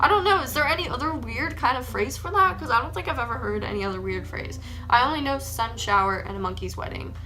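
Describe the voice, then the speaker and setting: Over noticeable background noise, a woman races along at a very fast pace with hardly any pauses. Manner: enunciating T's aggressively.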